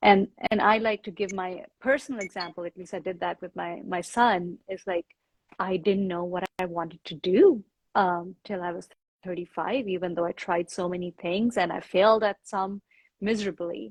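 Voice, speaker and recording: With an Indian accent, a woman speaks at a moderate pace, her loudness swinging widely, in a dry, close sound with no echo. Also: medium pitch for a woman, fairly even intonation. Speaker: yoga teacher. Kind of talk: casual chat.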